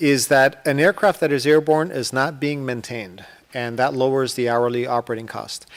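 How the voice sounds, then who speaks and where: This man's voice is medium in pitch. It varies in a typical way. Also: moderate pace. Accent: Spanish. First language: Spanish. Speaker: aerospace executive. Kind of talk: panel discussion. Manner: halting, with stutters and fillers.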